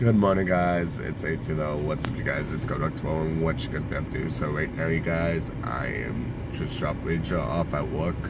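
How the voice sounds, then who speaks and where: With music in the background and audible room echo, a man with a very deep, low pitch talks at a moderate pace with ordinary pitch variation and hardly any pauses. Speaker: vlogger. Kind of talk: casual vlog.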